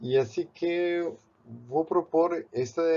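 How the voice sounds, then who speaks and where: This is a man speaking with a Spanish accent. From Spain, Barcelona. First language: Spanish (or Catalan) (speaking Portuguese). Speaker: art professor and painter. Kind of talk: tutorial. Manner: halting, with repeated words and fillers.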